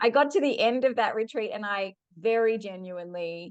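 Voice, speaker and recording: Over a quiet background, a woman speaks at a medium pitch with an Australian accent and ordinary pitch variation. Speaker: human design teacher. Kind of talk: podcast interview.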